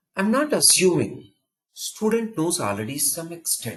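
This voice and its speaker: A man with an Indian accent talks at a fairly slow pace, his pitch swinging very widely. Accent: Indian English, easy to follow. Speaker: programming trainer. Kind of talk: counselling talk. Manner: simple, repetitive phrasing.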